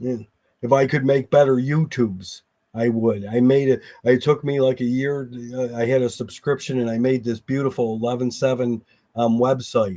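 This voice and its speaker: With a dark, mellow tone, the man talks in fairly even intonation. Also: medium pitch for a man. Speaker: construction worker. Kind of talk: casual chat. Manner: fast.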